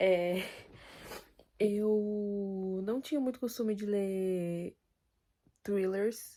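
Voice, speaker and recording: A woman speaks at a medium pitch, with ordinary pitch variation. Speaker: booktuber. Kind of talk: casual vlog. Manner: soft-spoken.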